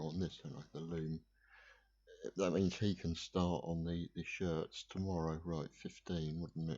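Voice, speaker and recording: A man speaks with a very deep, low pitch and a dark, mellow, relaxed tone. His delivery is fairly slow and monotone, with flat intonation. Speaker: gaming video creator. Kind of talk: gameplay commentary. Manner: relaxed, hesitant with fillers.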